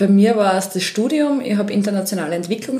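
A woman speaks at a moderate pace with a slight Styrian accent. Noticeable background noise can be heard. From Austria, Upper Styria (Krieglach). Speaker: Eurovision fan club event organiser. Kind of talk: casual chat.

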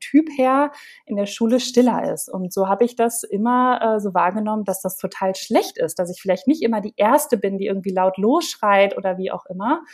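Her voice sits at a fairly high pitch for a woman, with ordinary pitch variation. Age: 30s. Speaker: copywriter and confidence coach. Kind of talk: interview. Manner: hesitant with many fillers.

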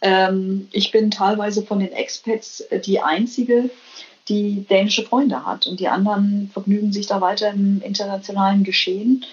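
The speaker is somewhat breathy, keeping the intonation fairly even. The pace is moderate. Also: woman, medium pitch for a woman. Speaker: biologist and business manager. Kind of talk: interview. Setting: remote call from Copenhagen. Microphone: weak connection signal.

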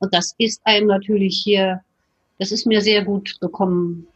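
Somewhat breathy, a woman speaks at a moderate pace in a dry, close sound with no echo. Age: 60s. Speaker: retired physician. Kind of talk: interview.

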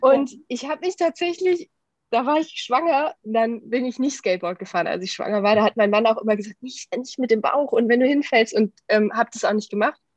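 High-pitched and lively in intonation, a woman speaks at a fairly quick pace. The sound is dry and close, with no echo. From Germany, Düsseldorf. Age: 30s. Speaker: corporate training manager. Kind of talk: casual interview.

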